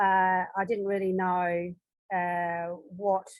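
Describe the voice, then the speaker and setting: A woman speaks very slowly with an Australian accent. Her pitch is medium and her intonation monotone and flat. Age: 70s. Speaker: audience member asking questions. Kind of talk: Q&A discussion. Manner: halting, many fillers.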